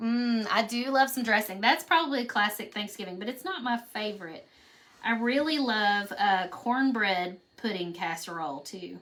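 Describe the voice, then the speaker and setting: In a Kentucky accent, a woman speaks at a moderate pace with lively intonation while noticeable background noise carries on behind her. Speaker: craft painting teacher. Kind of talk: live painting tutorial. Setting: live stream. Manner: casual, chatty.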